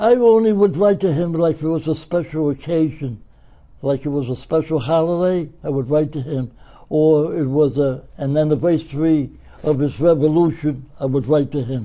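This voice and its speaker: A man in a Brooklyn accent, fairly high-pitched with a dark, mellow tone, ordinary pitch variation and a moderate pace, over a quiet background. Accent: New York, Brooklyn. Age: 80s+. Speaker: retired florist and pen pal to world leaders. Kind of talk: interview.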